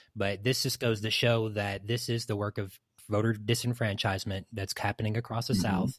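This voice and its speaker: A man with a fairly low, somewhat breathy voice talks at a fairly quick pace. His intonation is fairly even, and the recording is very clean with a silent background. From East Tennessee. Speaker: podcast guest. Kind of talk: casual chat.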